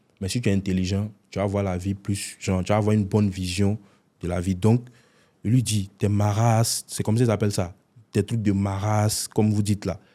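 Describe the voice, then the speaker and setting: Recorded very cleanly against a silent background, a man speaks at a fairly quick pace in a dark, mellow tone, fairly low in pitch, with monotone, flat intonation. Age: 20s. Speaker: content creator, prankster. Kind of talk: interview.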